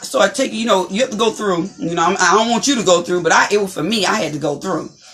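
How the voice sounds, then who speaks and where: A woman's medium-pitched voice with ordinary pitch variation at a fairly quick pace, music in the background. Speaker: talk show host and motivational speaker. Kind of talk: inspirational talk show chat. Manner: loud.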